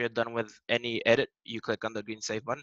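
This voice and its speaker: A man talks at a fairly quick pace with a medium pitch and monotone, flat intonation. His tone is bright and sharp, and the sound is dry and close with no echo. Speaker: software support trainer. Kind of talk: tutorial. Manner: fast.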